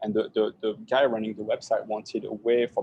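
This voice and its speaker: A man speaks in a French accent with a dark, mellow tone. His pace is fairly quick. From France. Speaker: tech startup founder. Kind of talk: tech talk Q&A. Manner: hesitant, many repetitions.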